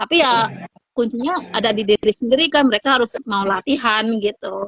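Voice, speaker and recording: With a strong Sundanese accent, a woman speaks fairly quickly at a fairly high pitch with ordinary pitch variation, recorded dry and close with no echo. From Indonesia, Sundanese region (West Java). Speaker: Turkish language tutor and writer. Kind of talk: casual interview chat. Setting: live online video call.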